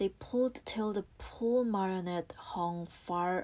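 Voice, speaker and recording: A woman's medium-pitched voice in a Korean accent, at a very slow pace with ordinary pitch variation, in a very clean recording with a silent background. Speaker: English learner reading aloud. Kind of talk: audiobook reading.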